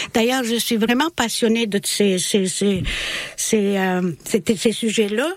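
Her loudness stays very even as she talks very slowly. The woman's fairly high voice has ordinary pitch variation. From Bosnia. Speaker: French language teacher. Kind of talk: radio interview. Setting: studio.

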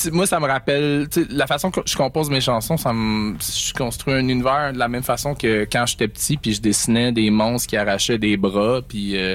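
A man with a Quebec accent speaks at a medium pitch and a moderate pace, with ordinary pitch variation. He leaves hardly any pauses, and there is noticeable background noise. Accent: Québécois French. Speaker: singer and guitarist. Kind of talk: radio interview. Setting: radio studio. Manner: mumbling, doesn't articulate well; halting.

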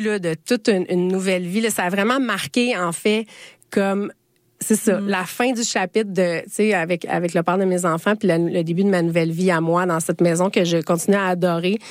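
On a very clean recording with a silent background, a woman with an ordinary speaking voice talks at a medium pitch and a fairly quick pace, with ordinary pitch variation. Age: 40s. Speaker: lawyer and podcaster. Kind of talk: radio interview.

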